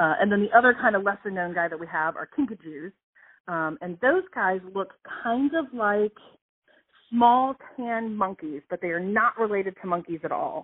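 A woman talks at a moderate pace in a normal speaking voice. Her pitch is medium and her intonation lively. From US South (moved from Ohio as a child). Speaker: animal sanctuary curator. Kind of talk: interview. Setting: phone call. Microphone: phone recording, imperfect sound.

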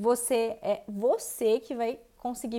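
A woman speaks with a fairly high pitch and a dark, mellow tone. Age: 30s. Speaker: podcast host, vegan content creator. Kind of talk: solo monologue podcast. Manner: casual, conversational.

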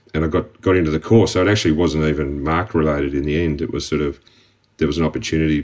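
A man with an Australian accent and a very deep, low pitch speaks at a very fast pace. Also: fairly even intonation. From Australia, Melbourne. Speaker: construction company director. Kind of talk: interview. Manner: hesitant, with fillers.

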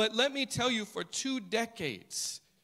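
A man with an American accent talks very slowly in a raised, projected voice. His tone is bright and sharp. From United States. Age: 40s. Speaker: preacher. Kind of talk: sermon.

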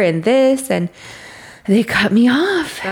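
A woman speaks with lively intonation over noticeable background noise. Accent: American. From Boyle Heights, Los Angeles. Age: 30s. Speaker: apothecary owner and tarot reader.

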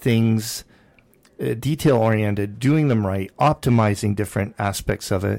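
Recorded very cleanly against a silent background, a man with a Canadian accent speaks in a dark, mellow tone with ordinary pitch variation. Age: 50s. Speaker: radio host and real estate broker. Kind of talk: casual chat.

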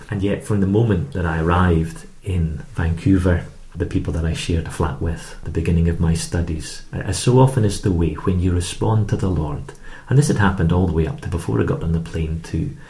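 In an Edinburgh accent, a man with a very deep, low pitch and a dark, mellow, somewhat breathy tone talks at a fairly quick pace with ordinary pitch variation, amid audible room echo. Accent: Scottish (Edinburgh). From Scotland, Edinburgh. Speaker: Bible charity leader, former banker. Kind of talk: interview testimony. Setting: studio.

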